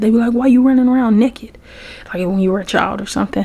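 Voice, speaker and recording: A soft-spoken woman talks in a Southern US accent. Noticeable background noise runs behind her. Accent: Southern American. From Memphis, Tennessee. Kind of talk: ASMR soft-spoken talk to camera.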